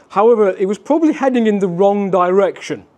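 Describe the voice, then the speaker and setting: A man speaks with a Yorkshire accent and a dark, mellow tone. His intonation is lively. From West Yorkshire, England (Wakefield). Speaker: railway historian. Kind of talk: lecture.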